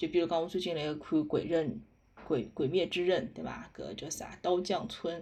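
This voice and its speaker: Fairly low pitch from a woman in a Shanghainese accent, with a dark, mellow tone, ordinary pitch variation and a moderate pace. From Shanghai, Hongkou. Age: 30s. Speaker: podcast host. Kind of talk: casual monologue. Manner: halting.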